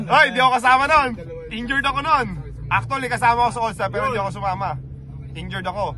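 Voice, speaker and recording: Over crowd noise in the background, a man with an extremely high pitch speaks in a raised, projected, animated voice at a very fast pace, broken by long, frequent pauses. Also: ordinary pitch variation. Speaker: former pro basketball player, vlogger. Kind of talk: casual chat.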